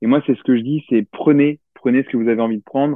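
A man's voice with fairly even intonation. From Limousin, France (Limoges, countryside). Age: 30s. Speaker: entrepreneur, brand founder. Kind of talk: interview. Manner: halting, many fillers and repetitions.

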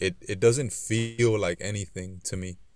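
A man with a normal speaking voice and an American accent talks at a fairly low pitch and a moderate pace, with fairly even intonation. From US West Coast, South Central Los Angeles. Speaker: auto detailer. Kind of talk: casual chat.

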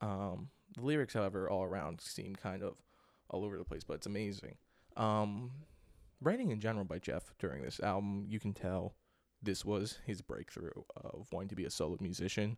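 Here a man speaks at a fairly low pitch. His pitch variation is ordinary. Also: fairly quick pace. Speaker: podcast host, album reviewer. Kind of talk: solo casual album review. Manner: halting, many fillers.

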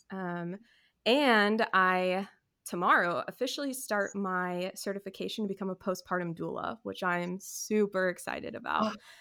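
With an American accent, the voice has a bright, sharp tone, ordinary pitch variation and a moderate pace, recorded very cleanly over a silent background. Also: woman, medium pitch for a woman. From California and Texas. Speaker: stay-at-home mom and wedding photographer. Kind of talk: casual chat.

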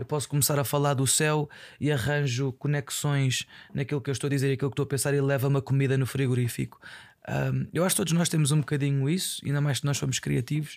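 Speaking very fast, a man keeps a very even loudness and fairly even intonation at a fairly high pitch. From Portugal, Aveiro. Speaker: podcaster. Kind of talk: casual monologue. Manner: halting.

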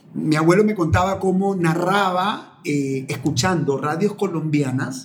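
A fairly high-pitched male voice with ordinary pitch variation over noticeable background noise. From Ecuador, Manabí coast (Portoviejo and Chone). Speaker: communicator, lawyer and human behavior coach. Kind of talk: interview conversation. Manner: hesitant, with frequent word repetitions.

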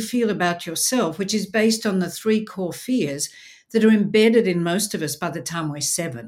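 A woman speaks with an Australian accent at a medium pitch. Her intonation is lively and her pace moderate. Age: 60s. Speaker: speaker and presenter. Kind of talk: casual interview. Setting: video call. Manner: animated.

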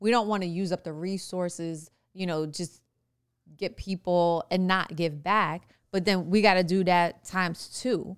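With a New York accent, a woman speaks at a fairly slow pace and medium pitch with fairly even intonation, recorded very cleanly against a silent background. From New York City, the Bronx. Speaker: podcast co-host, business owner. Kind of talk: casual chat. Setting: studio in the Bronx.

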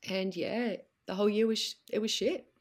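A woman with an Australian accent at a fairly slow pace, in a very clean recording with a silent background. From Melbourne, Australia. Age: 40s. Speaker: coaching client sharing marriage story. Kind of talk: personal testimony in interview.

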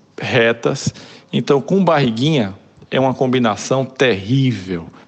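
Here a man speaks with a Pernambuco accent. His pace is moderate and his pitch variation ordinary. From Brazil, Pernambuco (Olinda). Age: 40s. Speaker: advertising creative director and writer. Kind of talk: casual interview.

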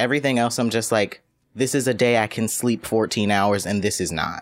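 Recorded very cleanly against a silent background, a man with an unremarkable speaking voice talks at a moderate pace in a medium pitch. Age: 20s. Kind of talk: casual chat.

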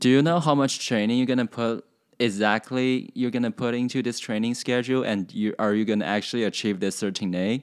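Man speaking at a fairly quick pace in a very clean recording with a silent background. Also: medium pitch for a man, ordinary pitch variation. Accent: Chinese. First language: Chinese. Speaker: podcast host. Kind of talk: casual chat. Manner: halting.

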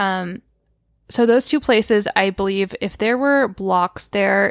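A woman with a normal speaking voice talks at a moderate pace and medium pitch with ordinary pitch variation, in a very clean recording with a silent background and a dry, close sound with no echo. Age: 30s. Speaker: grief coach and podcast host. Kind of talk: solo Q&A podcast monologue. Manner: casual, filler-heavy.

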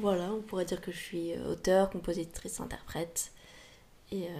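A woman speaks in a fairly low, dark, mellow voice with vocal fry and flat, monotone intonation, going fairly slowly with long, frequent pauses. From Paris, France. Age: 20s. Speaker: singer-songwriter. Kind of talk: casual interview. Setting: podcast recording. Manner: hesitant, many fillers.

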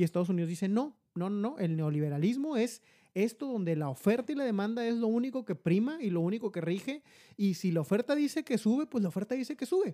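Someone with a Mexican accent speaks very fast in a very clean recording with a silent background. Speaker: podcast co-host, insurance agent. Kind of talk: casual chat.

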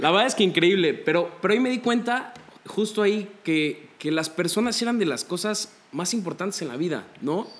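A man's high-pitched voice moves at a moderate pace with ordinary pitch variation, noticeable background noise behind him. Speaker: psychology student. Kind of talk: casual chat.

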